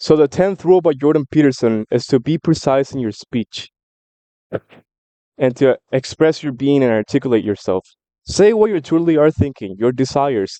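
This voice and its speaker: A man with a Spanish accent speaks in a dark, mellow tone at a moderate pace. His intonation is lively, and the sound is dry and close with no echo. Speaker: book commentary vlogger. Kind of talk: casual monologue. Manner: animated.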